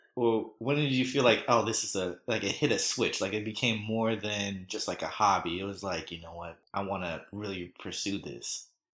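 An ordinary speaking voice, this man talks at a fairly low pitch and moderate pace with ordinary pitch variation, hardly any pauses and big swings in loudness, on a very clean recording with a silent background. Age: 30s. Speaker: podcast host. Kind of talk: casual chat. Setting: studio.

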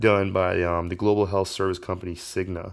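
A man with an American accent and a very deep, low pitch, at a moderate pace with fairly even intonation, in a very clean recording with a silent background. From Indiana, US. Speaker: podcast host. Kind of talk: solo podcast monologue. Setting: home, kitchen table. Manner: casual, filler-heavy.

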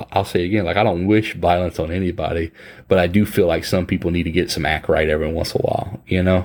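A man with a Louisiana accent, very deep and low in pitch, talking at a very fast pace in a monotone, flat intonation. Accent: Louisiana Southern US. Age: 30s. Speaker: podcast host. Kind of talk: casual chat. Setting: video call.

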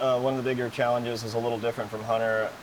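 A man's medium-pitched voice comes through with noticeable noise behind it. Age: 30s. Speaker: professional off-road racer. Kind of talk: casual interview. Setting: race shop.

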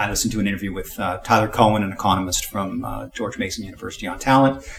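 A somewhat breathy man speaks at a fairly quick pace and a fairly low pitch. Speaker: podcast reviewer co-host. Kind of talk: casual podcast review chat.

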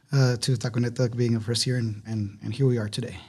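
Somewhat breathy, this man's voice sits at a medium pitch with a dark, mellow tone. His intonation stays fairly even. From Ciudad Juarez, Mexico / El Paso border. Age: 30s. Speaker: restaurant co-owner. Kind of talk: interview conversation. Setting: studio.

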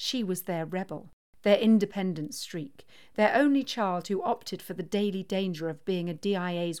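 What you hear is a natural reading voice.

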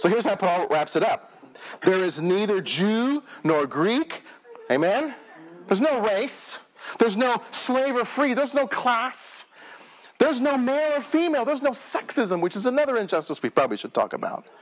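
Over noticeable background noise, a man with an American accent speaks at an extremely high pitch in an animated tone, his pitch swinging very widely. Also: moderate pace. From Texas, Houston. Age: 40s. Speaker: pastor. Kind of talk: evangelical Sunday sermon with call-and-response, conversational and personal. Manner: animated, earnest, with halting restarts and repetitions; rousing preacher cadence, prompting the congregation to say amen.

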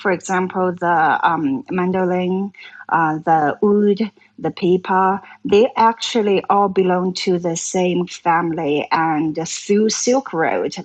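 A woman with a Chinese accent speaks very slowly at a medium pitch, with ordinary pitch variation. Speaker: traditional Chinese musician and actress. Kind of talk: casual interview chat.

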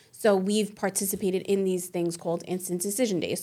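A plain, everyday voice with an American accent, fairly even intonation and a fairly quick pace. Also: woman. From Staten Island, New York City. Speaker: school college placement director. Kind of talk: casual interview. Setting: studio.

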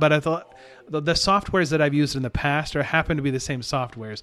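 A man talks in an Upper Midwest accent. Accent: Upper Midwest American. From Michigan (Hastings). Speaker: retro video game hobbyist. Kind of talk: casual chat.

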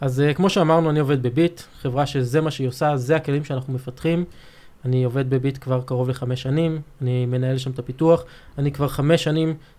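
A man with a fairly high pitch speaks at a moderate pace. He has an unremarkable speaking voice and fairly even intonation. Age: 30s. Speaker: software development manager. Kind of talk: technical interview. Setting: studio.

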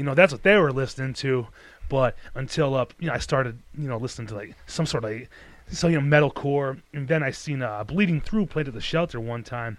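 Speaking at a fairly quick pace with a Detroit accent and ordinary pitch variation, the voice comes through on a very clean recording with a silent background. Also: man, medium pitch for a man. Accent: Detroit American English. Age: 30s. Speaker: podcast host. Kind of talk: casual chat.

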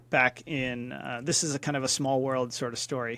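An ordinary speaking voice with an American accent moves at a fairly quick pace. The recording is very clean, with a silent background. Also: man. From US Northeast, Philadelphia suburbs. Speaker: business coach. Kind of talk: casual interview chat.

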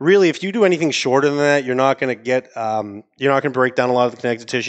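A man speaks at a medium pitch with an American accent and ordinary pitch variation. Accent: New England, comes out more with wine. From Maine, US. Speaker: cigar company sales executive and dry-aging enthusiast. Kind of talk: casual chat, podcast interview. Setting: live studio audience, podcast cafe.

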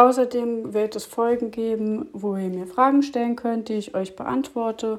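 An unremarkable speaking voice goes at a fairly slow pace with hardly any pauses and fairly even intonation. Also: woman, fairly high pitch for a woman. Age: 30s. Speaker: podcast host and health coach. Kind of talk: podcast intro monologue.

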